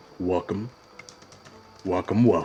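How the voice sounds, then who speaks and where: A man puts on a booming character voice. His pitch is very deep and low. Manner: welcoming.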